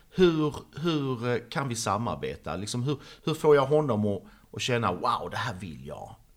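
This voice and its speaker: At a fairly slow pace, a man speaks at a medium pitch with very wide pitch swings and big swings in loudness, in a very clean recording with a silent background. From Sweden, Trelleborg (Skåne). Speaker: artist. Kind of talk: interview.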